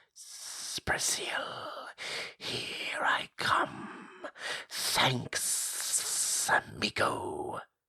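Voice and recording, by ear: In a put-on character voice, the speaker whispers with a hiss at a very slow pace.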